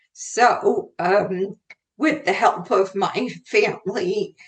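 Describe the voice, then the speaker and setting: A woman speaks at a very slow pace with lively intonation. Her voice is somewhat breathy. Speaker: career consultant and author. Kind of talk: podcast interview. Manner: hesitant, many fillers.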